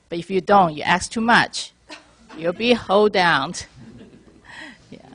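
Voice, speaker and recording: The woman's voice sits at a medium pitch with ordinary pitch variation. She talks at a fairly slow pace, with big swings in loudness. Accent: Chinese. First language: Chinese. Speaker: mortgage lender. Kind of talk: panel discussion.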